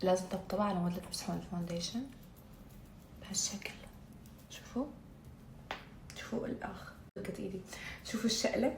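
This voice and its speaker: With a slight Baghdad accent, a woman at medium pitch speaks at a moderate pace with ordinary pitch variation, long, frequent pauses, and audible room echo. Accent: Baghdadi Iraqi dialect, described as light. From Iraq, Baghdad. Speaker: beauty vlogger. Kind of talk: makeup tutorial vlog. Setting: at home. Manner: casual, chatty, code-switching with English; stumbles over words.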